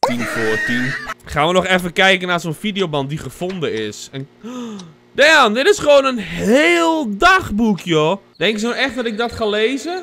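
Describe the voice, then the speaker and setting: A man's raised, projected voice at a fairly slow pace, with light background noise. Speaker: gaming streamer. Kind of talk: casual gameplay commentary. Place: home room. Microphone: studio mic.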